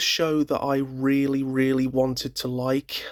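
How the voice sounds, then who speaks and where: At a fairly slow pace, a man with a British accent talks at a medium pitch, the sound dry and close with no echo on a very clean recording with a silent background. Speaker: YouTuber. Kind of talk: casual chat. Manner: hesitant.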